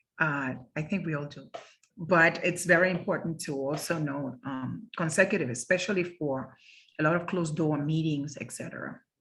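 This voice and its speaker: A woman's very deep, low voice with a Spanish accent, ordinary pitch variation, a moderate pace and big swings in loudness. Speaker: interpreting instructor. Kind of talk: lecture. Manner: halting.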